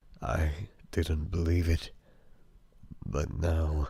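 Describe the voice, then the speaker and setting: In a very clean recording with a silent background, a man performs a cartoonish character voice at a very deep, low pitch. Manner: blunt, impatient.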